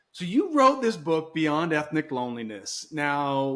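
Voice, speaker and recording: A man with an American accent and a plain, everyday voice speaks at a moderate pace and a fairly high pitch with ordinary pitch variation, in a very clean recording with a silent background. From Nigeria (missionary kid, US raised). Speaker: podcast host. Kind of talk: casual interview chat.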